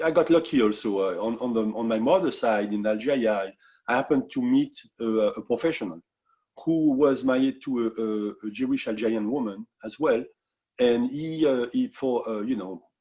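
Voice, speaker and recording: Against a quiet background, a man speaks at a moderate pace and medium pitch with a dark, mellow tone and ordinary pitch variation. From France. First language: French. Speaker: musician. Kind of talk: interview. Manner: halting.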